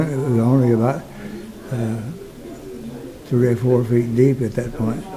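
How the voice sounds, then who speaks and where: Audible room echo surrounds the speaker, a man. His intonation is monotone and flat. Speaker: retired doctor and war veteran. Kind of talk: personal testimony. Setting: recording booth at a museum. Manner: halting, frequent fillers.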